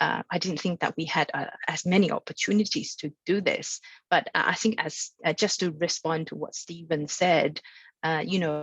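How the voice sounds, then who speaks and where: The sound is dry and close, with no echo, as a woman speaks at a fairly low pitch. Her voice is somewhat breathy, her intonation fairly even. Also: moderate pace. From mainland China. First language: Mandarin Chinese. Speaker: international arbitration lawyer. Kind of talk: panel talk at training webinar. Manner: halting, many fillers and repetitions.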